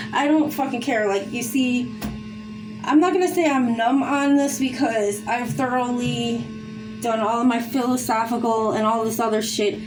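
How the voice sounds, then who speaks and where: Over music in the background, a woman with a fairly high pitch speaks at a moderate pace with ordinary pitch variation, and audible room echo surrounds her. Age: 40s. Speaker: vlogger. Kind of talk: casual monologue. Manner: rambling, halting with fillers.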